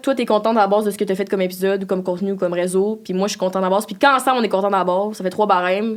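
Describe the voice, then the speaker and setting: This voice belongs to a woman. It has a medium pitch. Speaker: podcast co-host. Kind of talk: casual chat. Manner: animated.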